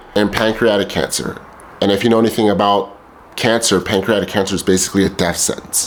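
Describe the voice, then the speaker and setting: A man's voice with fairly even intonation over noticeable background noise. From El Salvador heritage. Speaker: vlogger. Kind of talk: personal testimony monologue. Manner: casual, with filler repetitions.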